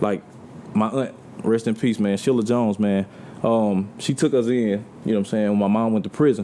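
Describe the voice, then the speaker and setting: Noticeable background noise sits behind this man. His pitch varies in an ordinary way. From US South, Mobile, Alabama. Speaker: R&B singer. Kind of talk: casual chat.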